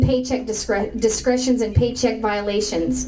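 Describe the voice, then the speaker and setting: A woman is heard with audible room echo. Noticeable background noise runs behind her. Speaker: political speaker. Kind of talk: speech to an audience. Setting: room with audience. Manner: fast.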